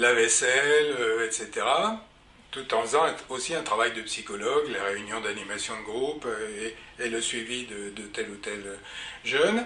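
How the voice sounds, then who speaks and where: A man with a medium pitch talks at a fairly slow pace, his pitch varying in an ordinary way while his loudness swings widely. Noticeable background noise and audible room echo fill the recording. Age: 70s. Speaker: psychologist and psychoanalyst. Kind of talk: personal career account. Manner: hesitant with frequent fillers.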